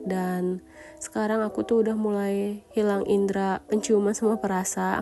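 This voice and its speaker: A woman's flat, monotone delivery over background music. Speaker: vlogger, housewife. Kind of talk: casual vlog talk.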